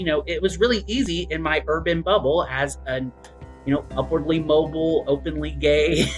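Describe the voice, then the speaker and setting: Music plays in the background as a man talks at a moderate pace. He has an Appalachian accent. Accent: Appalachian Southern US. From Southeastern Kentucky. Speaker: writer. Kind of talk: interview answer.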